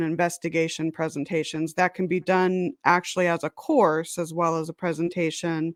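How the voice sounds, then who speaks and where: A woman speaks in a plain, everyday voice with an American accent, fairly low pitch, fairly even intonation and a moderate pace. The recording is very clean with a silent background and a dry, close sound with no echo. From San Diego, California. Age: 40s. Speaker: paranormal researcher and author. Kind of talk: casual interview chat.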